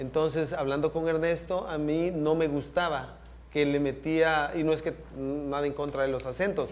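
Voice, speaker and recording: A man talks in a flat monotone at a fairly high pitch, with audible echo from the room. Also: moderate pace. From El Salvador. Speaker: sound engineer. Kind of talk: panel talk / masterclass conversation.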